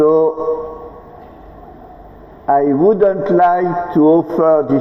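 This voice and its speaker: A strong French accent at a very slow pace, with fairly even intonation, long, frequent pauses and noticeable background noise. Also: man. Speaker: international delegation leader. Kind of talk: ceremonial speech.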